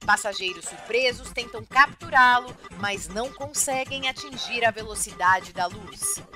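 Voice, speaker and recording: A woman's lively intonation at a fairly slow pace, with music in the background. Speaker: educator. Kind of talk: playful children's radio news read.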